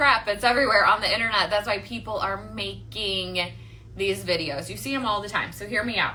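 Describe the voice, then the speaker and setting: Speaking with a Midwestern accent, a woman has a medium pitch and ordinary pitch variation. Audible room echo and noticeable background noise surround her. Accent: Midwestern, nasal. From US Midwest, Michigan. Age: 40s. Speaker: online marketing coach. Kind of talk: livestream chat and pitch. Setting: livestream. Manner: casual, chatty.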